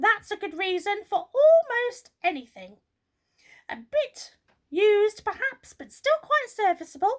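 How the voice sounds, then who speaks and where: A woman's squeaky, put-on character voice at an extremely high pitch, with very wide pitch swings, big swings in loudness, and a fairly slow pace. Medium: read story. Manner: brisk, officious.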